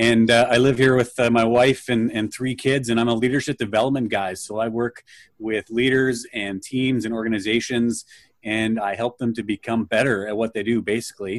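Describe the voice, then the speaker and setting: A man with a Canadian Prairies accent speaks at a moderate pace and medium pitch in monotone, flat intonation, the sound dry and close with no echo over a quiet background. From Canada, near Winnipeg. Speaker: leadership coach. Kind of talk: interview. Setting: video call.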